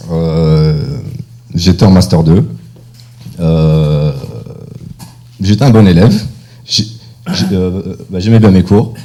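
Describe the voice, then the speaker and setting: A man with a very deep, low voice and ordinary pitch variation, speaking very slowly with long, frequent pauses amid audible room echo and noticeable background noise. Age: 30s. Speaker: entrepreneur. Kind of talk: personal talk to audience. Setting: stage with audience. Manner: halting, many fillers.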